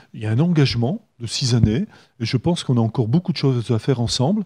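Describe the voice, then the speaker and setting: A man speaks at a medium pitch with lively intonation and a dark, mellow, somewhat breathy tone against a quiet background. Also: dry, close sound with no echo. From northern France, Hazebrouck (French Flanders). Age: 70s. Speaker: mayor and election candidate. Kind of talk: radio interview. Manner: hesitant, many filler sounds.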